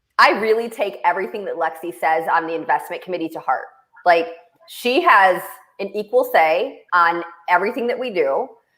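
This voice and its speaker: A woman speaks at a medium pitch. Her intonation is lively and her pace moderate. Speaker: show host and venture investor. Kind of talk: casual chat. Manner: loud.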